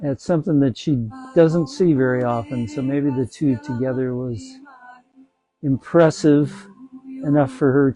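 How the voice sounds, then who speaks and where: Over music in the background, a man speaks in a relaxed tone at a fairly slow pace with long, frequent pauses. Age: 70s. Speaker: yoga instructor. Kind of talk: tutorial.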